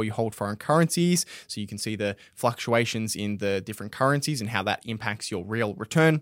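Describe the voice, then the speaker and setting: This man speaks with an Australian accent at a fairly quick pace and a medium pitch. His pitch varies in an ordinary way, and the recording is very clean with a silent background. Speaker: podcast host. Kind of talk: casual chat. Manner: casual, filler-heavy.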